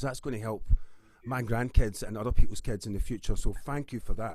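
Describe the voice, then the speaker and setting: At a fairly quick pace, a man with a Scottish accent speaks in a medium pitch with ordinary pitch variation. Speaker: musician and campaigner. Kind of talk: panel discussion.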